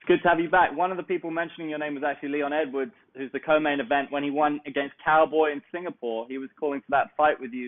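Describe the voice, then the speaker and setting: Talking very fast with hardly any pauses, a man with a southern English accent has a fairly high pitch, fairly even intonation and big swings in loudness. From southeast England (Kent). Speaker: MMA interviewer. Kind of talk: interview.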